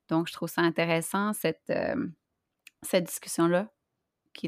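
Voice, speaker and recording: In a dry, close sound with no echo and a silent background on a very clean recording, a woman speaks with vocal fry in a fairly low pitch, using fairly even intonation at a fairly quick pace. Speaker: podcast co-host. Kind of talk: casual chat.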